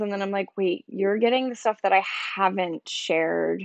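An ordinary speaking voice with an American accent moves at a moderate pace with ordinary pitch variation. The sound is dry and close with no echo, over a quiet background. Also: woman. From South Jersey, near Philadelphia. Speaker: writer and poet. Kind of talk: casual interview.

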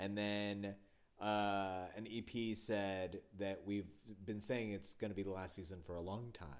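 Here is an ordinary speaking voice from a man with fairly low pitch. He speaks at a fairly slow pace. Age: 30s. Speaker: podcast host. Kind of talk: casual chat; scripted narration. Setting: in person.

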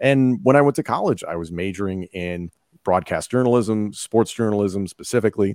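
At a fairly quick pace, an unremarkable speaking voice moves with ordinary pitch variation, in a dry, close sound with no echo on a very clean recording with a silent background. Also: man, fairly low pitch for a man. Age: 30s. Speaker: wrestling commentator. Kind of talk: casual chat.

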